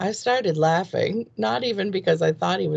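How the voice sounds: Natural voice reading aloud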